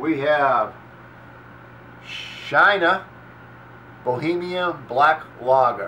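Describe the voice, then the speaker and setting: A man with a Boston accent speaks very slowly in a fairly high voice, with ordinary pitch variation, long and frequent pauses, and noticeable background noise. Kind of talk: casual beer review talk to camera. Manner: casual, halting.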